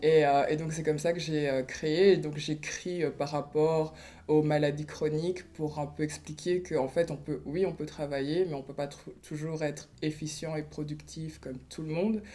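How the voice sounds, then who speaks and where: A woman talks in a very deep, low pitch with monotone, flat intonation. She goes at a fairly slow pace with hardly any pauses. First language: Kinyarwanda (speaking French). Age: 30s. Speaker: artist and blogger. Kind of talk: interview testimony. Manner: hesitant, many fillers.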